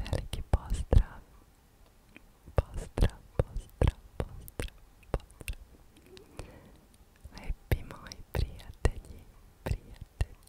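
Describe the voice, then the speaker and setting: A woman whispers with big swings in loudness, her sound dry and close with no echo over noticeable background noise. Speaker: ASMR creator. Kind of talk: ASMR haul video. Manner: whispered.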